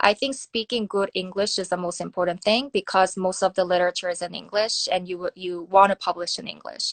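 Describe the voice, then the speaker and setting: A woman with a Korean accent, fairly even intonation and hardly any pauses, in a dry, close sound with no echo. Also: medium pitch for a woman, fairly quick pace. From South Korea. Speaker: nuclear security researcher. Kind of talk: interview. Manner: hesitant, many fillers.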